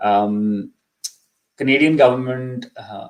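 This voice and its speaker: In a Pakistani accent, a man speaks at a fairly slow pace with fairly even intonation. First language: Urdu. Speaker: immigration consultant. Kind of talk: live Q&A info session. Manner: hesitant, many fillers.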